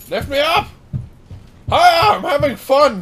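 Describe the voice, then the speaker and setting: Fairly slow delivery in a put-on character voice. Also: man, extremely high pitch for a man. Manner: cheerful, excited, playful.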